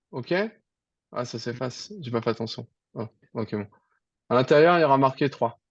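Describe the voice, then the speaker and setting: Against a quiet background, a man at a medium pitch speaks at a moderate pace with ordinary pitch variation, big swings in loudness, and long, frequent pauses. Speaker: programming teacher. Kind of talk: online tutoring lesson.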